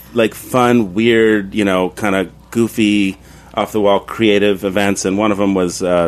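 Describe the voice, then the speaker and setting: Music plays in the background as a man speaks with an American accent and fairly even intonation. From New York City, Queens. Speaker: bar and cafe owner. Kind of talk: casual chat. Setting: studio.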